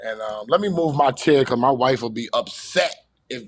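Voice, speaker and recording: Speaking with a New York accent, a man uses a medium pitch and ordinary pitch variation. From New York City (Queens). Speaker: music industry manager and podcaster. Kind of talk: casual chat.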